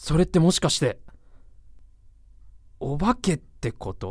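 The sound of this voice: A woman does a put-on character voice, low-pitched with a slightly husky edge and a slightly mellow tone. She speaks at a slow pace with big pitch swings.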